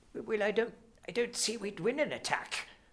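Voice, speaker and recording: This put-on character voice sits at a fairly high pitch and moves at a moderate pace. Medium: read story. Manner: stammering, hesitant.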